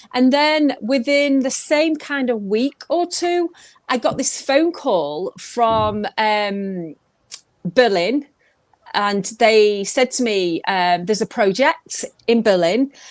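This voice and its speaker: A woman speaks very slowly with a slight Manchester accent. Her fairly high voice swings very widely in pitch. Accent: slight Mancunian twang. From northern England, Manchester. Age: 50s. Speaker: pop singer. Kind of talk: interview. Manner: animated.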